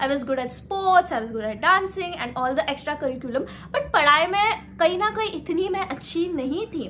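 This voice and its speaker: Noticeable background noise accompanies the recording. The woman's pitch swings very widely. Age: 20s. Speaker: self-help vlogger. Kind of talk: casual motivational talk.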